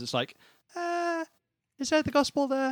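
Recorded with a dry, close sound with no echo, a man talks at a fairly quick pace in a British accent. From England. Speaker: church member and worship musician. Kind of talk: casual chat. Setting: remote call.

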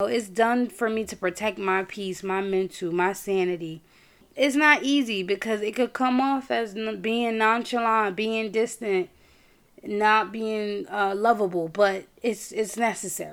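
An unremarkable speaking voice, a woman with an American accent, fairly high in pitch with ordinary pitch variation, at a fairly slow pace on a very clean recording with a silent background. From New York. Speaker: podcast host. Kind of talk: personal monologue. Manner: casual, conversational.

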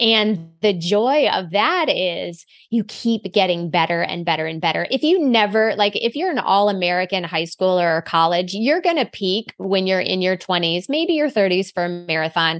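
A woman with an unremarkable speaking voice talks at a moderate pace in a medium pitch, with lively intonation and hardly any pauses, over a quiet background. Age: 40s. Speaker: running coach. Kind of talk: casual chat.

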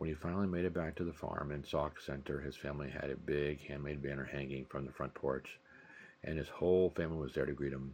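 In a very deep, low voice with vocal fry, a man speaks fairly quickly in a flat monotone. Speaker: podcast host and novelist. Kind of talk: literary audiobook reading, steady narrator's delivery of novel chapters. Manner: measured, even-paced, storytelling tone; clear, formal and expository.

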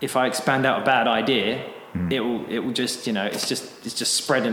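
A man with a British accent speaks at a medium pitch and a fairly quick pace. His intonation stays fairly even amid noticeable background noise. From Britain. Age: 30s. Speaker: English teacher, school owner. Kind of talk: casual interview chat. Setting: echoey classroom.

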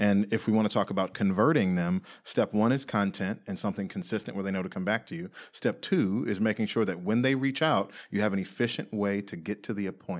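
A man has a normal speaking voice with a fairly low pitch and ordinary pitch variation. He talks at a fairly quick pace in a very clean recording with a silent background. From Washington DC area (Silver Spring, Maryland). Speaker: realtor. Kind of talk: interview.

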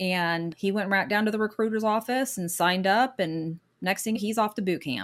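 A woman talks in an ordinary speaking voice at medium pitch, with ordinary pitch variation. Her pace is moderate, and the recording is very clean with a silent background. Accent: American. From Michigan, later US South. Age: 50s. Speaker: guest sharing her divorce story. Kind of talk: interview, personal testimony.

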